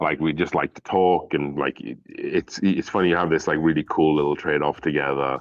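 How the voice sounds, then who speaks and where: A man mumbles in a very deep, low voice with vocal fry and a Welsh accent. He talks at a fairly quick pace with hardly any pauses and fairly even intonation. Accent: Welsh, British. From Wales. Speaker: whiskey reviewer. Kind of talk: casual chat. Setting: live stream. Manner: mumbly.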